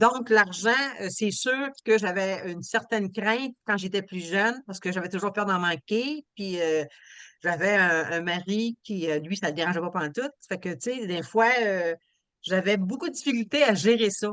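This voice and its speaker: A woman at medium pitch with ordinary pitch variation, at a fairly slow pace over a quiet background. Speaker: retired accountant. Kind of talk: testimony. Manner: loud.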